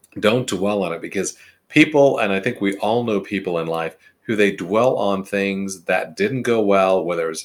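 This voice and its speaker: This is a normal speaking voice with ordinary pitch variation at a moderate pace. The recording is very clean, with a silent background. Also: man. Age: 50s. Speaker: HR consultant podcast host. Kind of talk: solo podcast monologue. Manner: conversational, some self-corrections.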